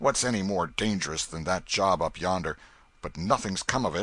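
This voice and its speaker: Putting on a character voice, a man growls in a raspy, very deep, low register at a moderate pace. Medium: read story. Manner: gruff, contemptuous.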